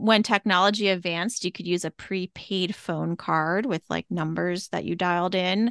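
With a plain, everyday voice, a woman talks at medium pitch and a moderate pace with fairly even intonation and hardly any pauses, the sound dry and close with no echo against a quiet background. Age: 40s. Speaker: podcast co-host. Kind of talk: casual chat.

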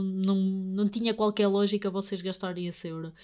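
Medium pitch and ordinary pitch variation from a woman speaking at a moderate pace. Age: 20s. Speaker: podcast host, young investor. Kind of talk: solo podcast monologue. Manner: halting, many fillers.

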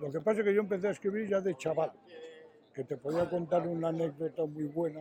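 A man with a fairly high voice talks at a fairly quick pace and fairly even intonation over noticeable background noise. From Spain, Astorga (León). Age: 70s. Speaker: tapestry artisan. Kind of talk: interview.

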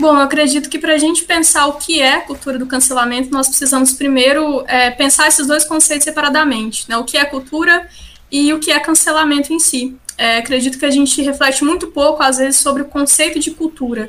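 Over noticeable background noise, a woman with a high pitch talks at a fairly quick pace with hardly any pauses. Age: 20s. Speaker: social sciences student and parliamentary aide. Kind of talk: podcast interview. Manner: hesitant, many filler sounds.

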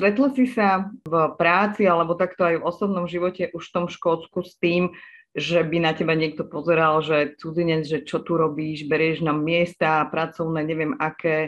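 A woman with an unremarkable speaking voice and a fairly low pitch talks at a moderate pace with ordinary pitch variation and hardly any pauses. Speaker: podcast host. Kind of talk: interview.

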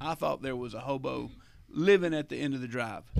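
A man with a Southern US accent speaks at a fairly quick pace. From Alabama, Eclectic. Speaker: church staff member. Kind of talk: casual chat.

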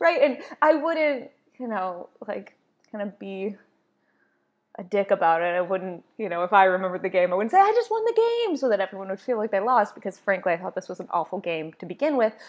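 An unremarkable speaking voice, with lively intonation and a fairly quick pace. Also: woman, medium pitch for a woman. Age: 30s. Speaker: podcast host, yoga instructor and doula. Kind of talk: casual solo podcast monologue.

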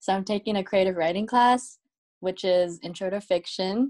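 This woman has an ordinary speaking voice, medium in pitch, with ordinary pitch variation and a moderate pace. The recording is very clean, with a silent background. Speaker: podcast co-host, college student. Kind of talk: casual chat.

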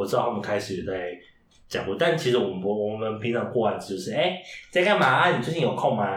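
With very wide pitch swings, a man talks at a very fast pace amid noticeable background noise and audible room echo. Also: medium pitch for a man. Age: 30s. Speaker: drag queen who reads picture books to children. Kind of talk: interview.

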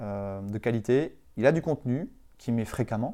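A man's dark, mellow voice, with ordinary pitch variation, comes through a very clean recording with a silent background. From France, Vendée. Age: 30s. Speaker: marketing agency director. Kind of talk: interview.

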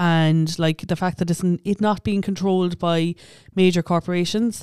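In an Irish accent, a woman speaks at a fairly quick pace in a fairly low, dark, mellow voice. Her intonation is monotone and flat, on a very clean recording with a silent background. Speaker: podcast co-host. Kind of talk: casual chat.

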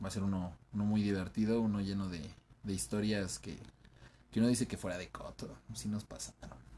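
A man speaks at a moderate pace in a fairly low voice with a dark, mellow tone. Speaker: podcast co-host. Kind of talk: casual chat.

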